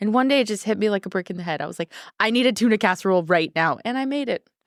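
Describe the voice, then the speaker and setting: A woman's animated, very fast speech with vocal fry, dry and close with no echo, in a very clean recording over a silent background. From US, Mexican-American family. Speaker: apron company founder and chef. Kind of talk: casual interview chat. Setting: studio.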